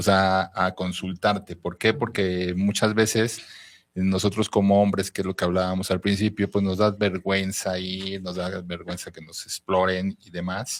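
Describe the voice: A man talks at a moderate pace, his low voice showing little pitch movement.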